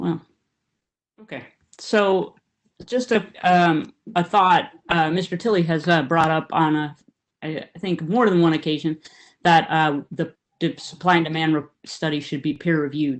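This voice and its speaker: Long, frequent pauses break up a woman's speech, which moves at a moderate pace against a quiet background. Her fairly low voice has ordinary pitch variation. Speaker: water board director. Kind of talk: committee meeting discussion. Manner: soft-spoken.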